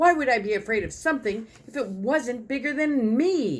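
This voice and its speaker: A put-on character voice comes through at a moderate pace. Its pitch sits fairly high. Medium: read story.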